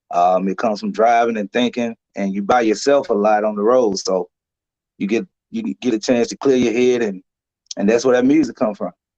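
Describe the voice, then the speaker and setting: A man's medium-pitched voice with an Alabama accent, dark and mellow in tone, at a fairly quick pace with ordinary pitch variation, in a dry, close sound with no echo. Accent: US Southern (Alabama). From Alabama, Lowndes County. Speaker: singer and truck driver. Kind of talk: interview. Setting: live stream.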